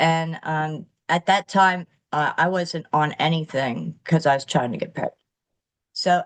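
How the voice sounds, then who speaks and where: A woman's fairly low voice at a moderate pace, dry and close with no echo. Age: 60s. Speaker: recovered chronic pain patient sharing story. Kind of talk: interview testimony. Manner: halting, many fillers.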